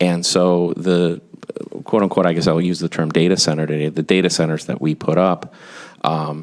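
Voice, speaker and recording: Noticeable background noise surrounds a man with a very deep, low voice. He speaks at a moderate pace with fairly even intonation. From US Midwest, Wisconsin (Kenosha). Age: 50s. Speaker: business executive, expert witness. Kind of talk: legislative testimony. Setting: committee hearing room.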